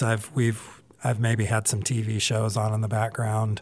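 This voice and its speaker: A fairly slow pace and medium pitch from a man, in a normal speaking voice. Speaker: film festival director. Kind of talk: casual chat. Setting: studio.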